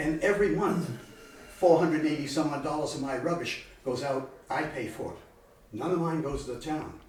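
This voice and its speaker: Fairly quick and fairly high-pitched, a man speaks with ordinary pitch variation. The recording has audible room echo and noticeable background noise. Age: 80s+. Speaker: local business owner speaking at town meeting. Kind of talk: public comment at town meeting. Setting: town selectmen's meeting room. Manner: animated; halting.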